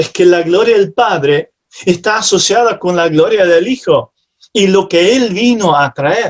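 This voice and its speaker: A man at a fairly slow pace. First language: not Spanish (speaking Spanish). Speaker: preacher. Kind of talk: sermon. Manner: halting at times.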